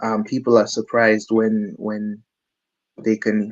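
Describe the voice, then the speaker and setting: Very slowly and in a monotone, flat intonation, a man speaks at a medium pitch. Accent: slight Caribbean. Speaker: musician, drummer. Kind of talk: interview. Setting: studio.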